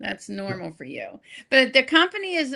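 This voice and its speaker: Her voice bright and sharp, a woman speaks in an animated tone at a moderate pace. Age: 70s. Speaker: wellness product distributor. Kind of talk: casual chat.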